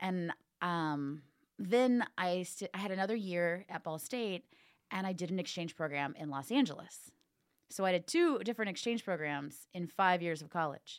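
A woman's normal speaking voice with a fairly low pitch, an American accent, ordinary pitch variation, and a moderate pace, on a very clean recording with a silent background. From US Midwest, northern Indiana. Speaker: actor and ventriloquist. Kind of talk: casual interview chat.

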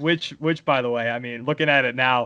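A man with an ordinary speaking voice, at a moderate pace with ordinary pitch variation. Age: 20s. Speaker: sports podcast host. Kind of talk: casual chat.

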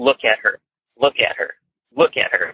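At a moderate pace, a man speaks in a put-on character voice. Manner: menacing.

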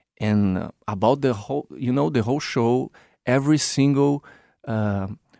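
With a Brazilian accent, a man talks at a moderate pace and medium pitch, using ordinary pitch variation, in a dry, close sound with no echo. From São Paulo, Brazil. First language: Portuguese. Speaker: circus performer, clown and drummer. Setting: studio.

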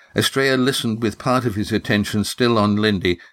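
A natural voice reading aloud

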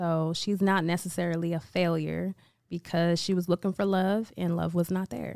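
A woman with an American accent has a plain, everyday voice at a fairly low pitch. She keeps a moderate pace and fairly even intonation on a very clean recording with a silent background. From Vallejo, California. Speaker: small business owner. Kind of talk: casual chat.

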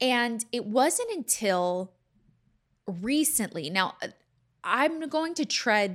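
A woman with an American accent, very slow with very wide pitch swings, on a very clean recording with a silent background. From Louisiana then Houston, Texas. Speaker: podcast host and YouTuber. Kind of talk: casual solo chat to audience. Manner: casual, conversational, laughs often.

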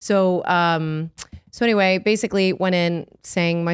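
On a very clean recording with a silent background, a woman speaks at a fairly low pitch in a plain, everyday voice. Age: 30s. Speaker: podcast co-host and actress. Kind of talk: casual chat.

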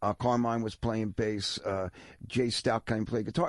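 A Philadelphia accent at a moderate pace against a quiet background. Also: man. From Philadelphia area, Levittown, Pennsylvania. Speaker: rock drummer. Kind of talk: casual chat. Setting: studio.

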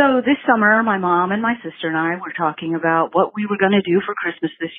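The speaker uses an ordinary speaking voice with ordinary pitch variation. The pace is moderate. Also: woman. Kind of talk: voicemail message. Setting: phone voicemail. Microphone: call hit a dead zone, partly lost.

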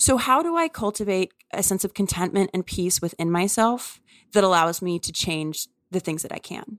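A woman with an American accent speaks at a moderate pace in an unremarkable speaking voice, her medium pitch moving with ordinary variation. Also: very clean recording, silent background. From US South, New Orleans. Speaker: author. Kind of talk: interview conversation.

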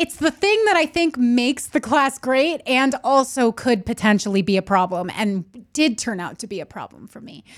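A woman speaks at a high pitch with very wide pitch swings and big swings in loudness. Her moderate pace comes through on a very clean recording with a silent background. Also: hardly any pauses. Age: 30s. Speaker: podcast co-host. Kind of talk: casual chat.

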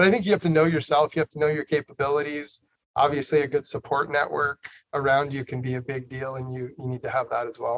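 Recorded dry and close with no echo, a man with an American accent talks very fast with fairly even intonation. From northern Idaho, Coeur d'Alene. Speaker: state senator and former business owner. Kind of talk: interview.

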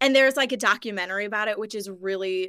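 A woman's bright, sharp voice at a very fast pace, in a very clean recording with a silent background. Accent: American. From Missouri, US Midwest. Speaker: actor and podcast host. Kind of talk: casual chat.

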